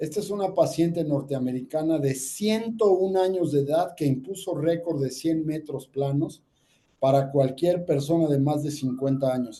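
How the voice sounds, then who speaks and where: A somewhat breathy voice with a dark, mellow tone moves at a fairly slow pace with ordinary pitch variation. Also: man, fairly high pitch for a man. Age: 60s. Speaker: ear, nose and throat doctor. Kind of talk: health talk with slides.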